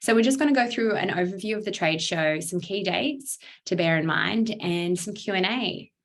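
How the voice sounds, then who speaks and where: A woman speaks with a strong Australian accent. Her pitch varies in an ordinary way. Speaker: startup accelerator program lead. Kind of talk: online briefing presentation.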